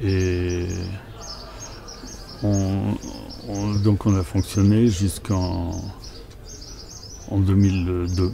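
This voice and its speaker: Very slowly and with long, frequent pauses, a man with a very deep, low pitch speaks in a monotone, flat intonation. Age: 60s. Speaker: retired farmer. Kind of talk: interview testimony. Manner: hesitant, many fillers.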